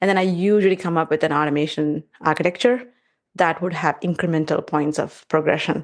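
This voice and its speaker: Over a quiet background, a woman with a non-native accent talks at a fairly quick pace in a fairly low pitch. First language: not English. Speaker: test automation engineer. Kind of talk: podcast interview. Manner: halting.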